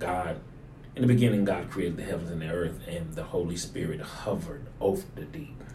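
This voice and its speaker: Somewhat breathy and fairly quick, a man talks in a very deep, low pitch with a dark, mellow tone and ordinary pitch variation. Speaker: pastor. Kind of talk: sermon-style teaching in conversation.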